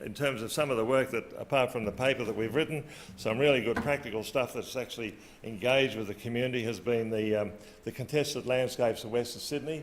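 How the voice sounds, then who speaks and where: Delivered at a very fast pace, the speech comes in an Australian accent with fairly even intonation. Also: man, medium pitch for a man. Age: 60s. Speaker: agriculture policy official. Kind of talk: conference talk. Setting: conference stage with audience. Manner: hesitant, many fillers.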